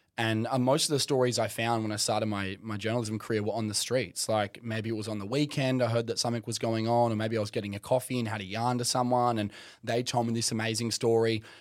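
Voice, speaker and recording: A man with an Australian accent talks at a very fast pace, with hardly any pauses and a medium pitch. His intonation is monotone and flat, and the recording is very clean with a silent background. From remote Western Australia (Kimberley, outback). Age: 20s. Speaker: journalist. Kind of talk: casual chat.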